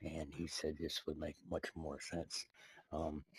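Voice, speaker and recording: A man's very deep, low voice, somewhat breathy, at a fairly slow pace. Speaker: satirical video creator. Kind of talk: satirical monologue addressed to the president. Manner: hesitant, many filler words.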